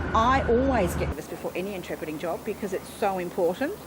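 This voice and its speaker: A woman at medium pitch and a very fast pace, with noticeable background noise. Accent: Australian. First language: Auslan (sign language). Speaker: sign language interpreter. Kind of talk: interview.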